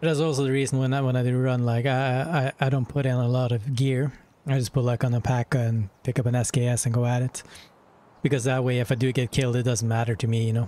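At a very fast pace, a man with a medium pitch and a dark, mellow tone talks in a monotone, flat intonation at very even loudness, the sound dry with no echo. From northern Norway. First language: Norwegian. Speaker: gaming streamer. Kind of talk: casual chat. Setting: live stream. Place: home room. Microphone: headset.

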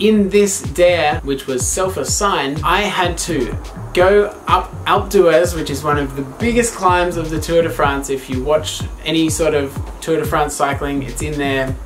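Over clear music in the background, a man talks at a fairly slow pace. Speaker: travel vlogger. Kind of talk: casual vlog chat. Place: home room.

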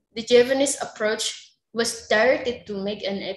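Speaking in an Indonesian accent, the voice moves at a fairly slow pace. Its pitch varies in an ordinary way. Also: woman. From Java, Indonesia. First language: Javanese. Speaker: researcher. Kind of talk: paper presentation. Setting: video call.

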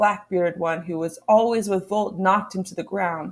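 This is an unforced reading voice. Nothing else stands out in the delivery.

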